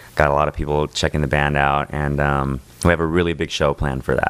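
A man at a very fast pace, very deep and low in pitch, flat and monotone, with noticeable background noise. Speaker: band member. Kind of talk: casual chat. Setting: studio.

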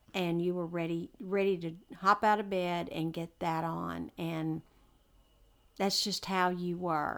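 Speaking in a Texan accent, a woman keeps a monotone, flat intonation at a fairly low pitch and a fairly slow pace, on a very clean recording with a silent background. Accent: Texan Southern US. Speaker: host's mother. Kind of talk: casual chat. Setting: home, birds and TV in background.

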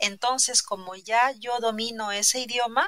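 A woman speaks in a Peruvian accent at a fairly slow pace. Her tone is bright and sharp. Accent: Peruvian Spanish (Lima). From Peru, Lima. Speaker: interviewee in language-learning conversation. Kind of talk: casual interview.

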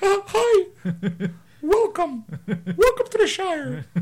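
A put-on character voice at an extremely high pitch drags along at a very slow pace. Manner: welcoming, cheery.

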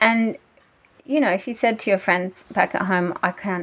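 The speaker is a woman with an Australian accent. She talks at a fairly quick pace. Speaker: e-commerce entrepreneur. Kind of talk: casual interview.

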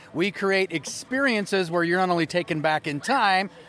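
A man talks fairly quickly, his pitch moving in an ordinary way, while noticeable noise fills the background. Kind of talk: casual chat. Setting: outdoors at a charity event.

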